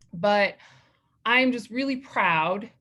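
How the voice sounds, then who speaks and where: A woman with an American accent and fairly even intonation. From Colorado (Lamar, southeastern plains). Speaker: dental hygienist, association officer. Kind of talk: acceptance speech. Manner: loud.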